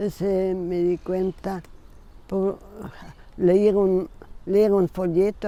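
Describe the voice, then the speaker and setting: In a flat monotone, a woman at a medium pitch speaks at a very slow pace. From South Tyrol, northern Italy (German-speaking). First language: German (speaking Spanish). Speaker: missionary nun. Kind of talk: interview. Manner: halting.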